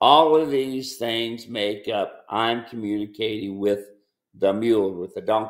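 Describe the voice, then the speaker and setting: A man's very slow speech comes through with a quiet background. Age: 70s. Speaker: mule trainer and ranch owner; mule trainer. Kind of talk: casual chat. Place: home room. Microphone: webcam.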